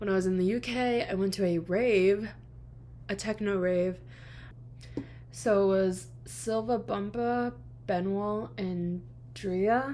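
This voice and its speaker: A woman in an American accent talks at a very slow pace, leaving long, frequent pauses. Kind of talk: casual chat.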